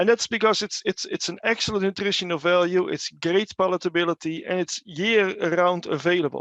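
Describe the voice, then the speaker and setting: A man talks fairly quickly in a high voice, with hardly any pauses. His intonation is fairly even, and the sound is dry and close with no echo. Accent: Dutch. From Netherlands. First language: Dutch. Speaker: animal nutrition researcher. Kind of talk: webinar presentation. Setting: online webinar. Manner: halting, many fillers and repeats.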